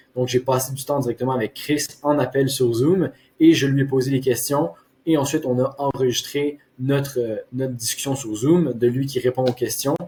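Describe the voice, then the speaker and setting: Moderate pace and fairly even intonation from a man with a medium-pitched voice. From Quebec. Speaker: marketing agency owner. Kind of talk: case study presentation. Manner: hesitant with frequent fillers.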